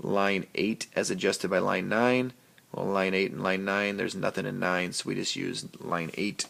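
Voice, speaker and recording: An unremarkable speaking voice, this man's has fairly even intonation and a moderate pace. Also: fairly low pitch for a man. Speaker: teacher. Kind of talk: tutorial. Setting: recorded on an iPad.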